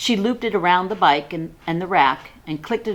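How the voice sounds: Pitch moves in an ordinary way as a natural reading voice carries the text.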